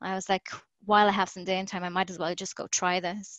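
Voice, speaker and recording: A woman talks at a fairly quick pace with monotone, flat intonation. The background is quiet. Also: dry, close sound with no echo. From Ireland, Galway. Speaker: professional wrestler. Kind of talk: casual interview chat. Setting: video call.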